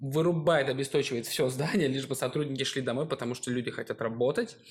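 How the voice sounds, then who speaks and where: The recording is very clean with a silent background. A man speaks in a plain, everyday voice, fairly high in pitch, with ordinary pitch variation. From Russia. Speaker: podcast co-host. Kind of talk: casual chat.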